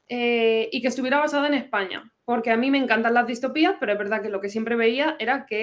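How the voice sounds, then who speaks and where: A woman talks very fast with a fairly high pitch. Her pitch varies in an ordinary way. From Madrid, Spain. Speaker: novelist and historian. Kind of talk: interview.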